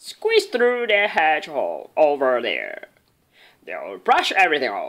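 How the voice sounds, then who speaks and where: A put-on character voice that sounds female. She speaks at a fairly slow pace. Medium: read story.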